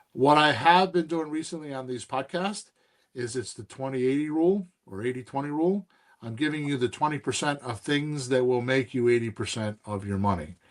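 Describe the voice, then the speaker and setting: Here a man talks in an ordinary speaking voice with lively intonation. His pace is fairly quick. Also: medium pitch for a man. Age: 60s. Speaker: real estate investing podcast host and coach. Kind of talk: casual mentoring chat.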